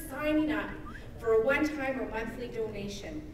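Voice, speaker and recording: At a moderate pace, a woman with a high voice speaks amid audible room echo and light background noise. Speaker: emcee. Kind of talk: rally announcements. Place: hall. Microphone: camera far.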